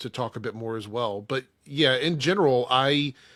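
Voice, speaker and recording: In a very clean recording with a silent background, a man with a medium pitch speaks in a bright, sharp tone. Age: 40s. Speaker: YouTuber and DJ. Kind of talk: casual chat.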